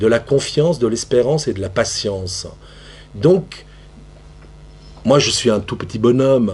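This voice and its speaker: Amid noticeable background noise, a man with a medium pitch and lively intonation speaks with long, frequent pauses. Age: 60s. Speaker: theatre practitioner. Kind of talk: panel discussion. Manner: halting.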